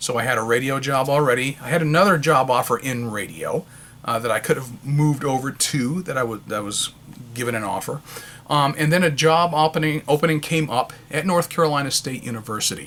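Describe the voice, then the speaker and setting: A man talks at a fairly quick pace with ordinary pitch variation, against noticeable background noise. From New Hampshire, New England. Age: 50s. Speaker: local political candidate. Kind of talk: campaign video monologue. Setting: home office.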